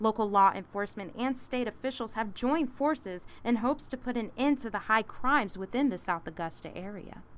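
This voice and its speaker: A woman's ordinary speaking voice, fairly high in pitch, at a moderate pace. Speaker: news reporter. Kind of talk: TV news report.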